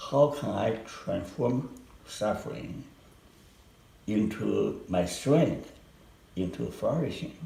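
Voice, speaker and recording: With a Chinese accent and lively intonation, a man of medium pitch talks at a very slow pace with long, frequent pauses in a room with audible echo. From China and Hong Kong. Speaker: psychologist professor. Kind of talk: research interview. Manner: slow and clear.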